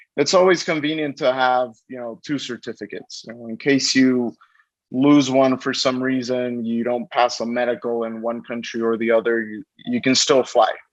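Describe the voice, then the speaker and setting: This man talks at a moderate pace with a medium pitch and fairly even intonation, though his loudness swings widely. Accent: Spanish. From Mexico. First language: Spanish. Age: 20s. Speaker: pilot. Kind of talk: interview. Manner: halting, many repetitions.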